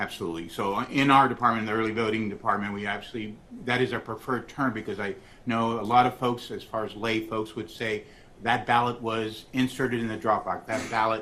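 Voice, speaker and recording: A man's medium-pitched, monotone voice with flat intonation at a fairly quick pace, amid noticeable background noise and audible room echo. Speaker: election official testifying as witness. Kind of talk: court testimony. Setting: courtroom. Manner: fast.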